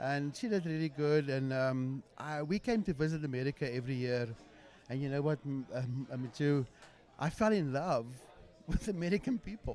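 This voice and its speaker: Speaking at a moderate pace with ordinary pitch variation, a man with a South African accent has a fairly high voice. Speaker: podcast guest. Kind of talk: casual chat.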